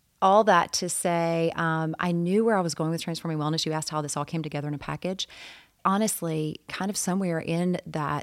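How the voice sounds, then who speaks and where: Here a woman with an unremarkable speaking voice talks at a fairly quick pace in a very clean recording with a silent background. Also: fairly low pitch for a woman, fairly even intonation. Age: 50s. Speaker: mental health counselor and yoga studio founder. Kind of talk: interview.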